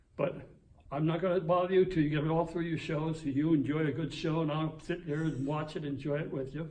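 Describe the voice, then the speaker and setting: With audible room echo, a man speaks at a fairly quick pace in a fairly high pitch and a monotone, flat intonation. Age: 90s. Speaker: retired police officer. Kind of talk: casual chat. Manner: halting.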